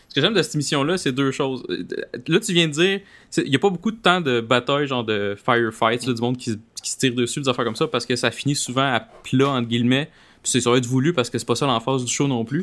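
Talking at a very fast pace, a man with a Quebec accent uses a medium pitch and ordinary pitch variation. The recording is very clean with a silent background. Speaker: podcast host. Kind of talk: casual chat.

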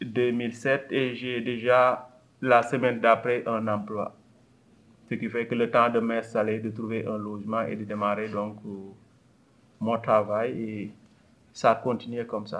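This man talks at a fairly slow pace with long, frequent pauses. His medium-pitched voice has a monotone, flat intonation. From Senegal. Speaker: community organization leader. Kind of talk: interview.

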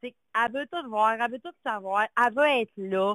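A woman's normal speaking voice, fairly high-pitched, with lively intonation and a moderate pace. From Quebec, Lac-Saint-Jean. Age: 40s. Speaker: caller. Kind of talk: call-in chat. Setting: phone call.

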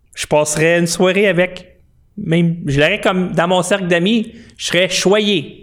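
A man's high voice at a fairly slow pace, with ordinary pitch variation, on a very clean recording with a silent background. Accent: Quebec. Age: 40s. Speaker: political commentary livestreamer. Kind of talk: political commentary monologue. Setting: home studio, live stream.

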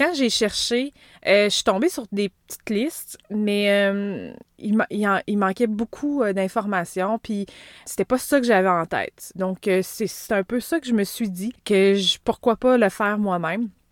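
A woman's medium pitch with ordinary pitch variation at a fairly slow pace. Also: dry, close sound with no echo. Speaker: podcast host. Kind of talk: solo podcast monologue.

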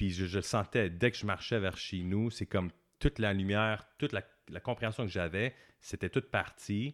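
On a very clean recording with a silent background and a dry, close sound with no echo, a man with a plain, everyday voice speaks at a moderate pace and a fairly low pitch with ordinary pitch variation. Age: 40s. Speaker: tarot and meditation teacher, author. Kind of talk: casual interview.

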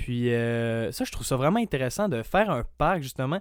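A man in a plain, everyday voice at a medium pitch and moderate pace, with a dry, close sound with no echo, on a very clean recording with a silent background. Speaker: college student association representative. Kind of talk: casual interview chat.

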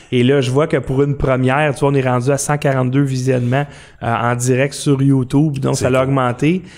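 At a moderate pace, a man speaks at medium pitch in a monotone, flat intonation, keeping his loudness very even. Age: 50s. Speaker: podcast host. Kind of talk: casual chat. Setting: studio. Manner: soft-spoken.

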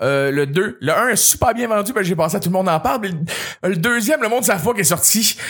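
A man with a Quebec accent speaks at a very fast pace and a high pitch, with an animated tone. His loudness stays very even over noticeable background noise. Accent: Québécois French. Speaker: radio host and comedian. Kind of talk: casual chat.

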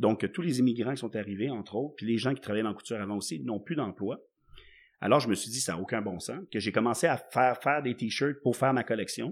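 A man's pitch sits in the medium range and varies in an ordinary way. He speaks very fast. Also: very clean recording, silent background. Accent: Quebec. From Quebec (Laval / Montreal). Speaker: entrepreneur. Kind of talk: casual interview.

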